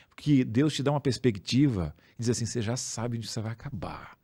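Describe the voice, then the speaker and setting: A man's medium-pitched, dark, mellow voice with vocal fry, at a fairly quick pace with ordinary pitch variation. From southern Brazil, Rio Grande do Sul. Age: 40s. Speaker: podcast co-host. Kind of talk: religious discussion.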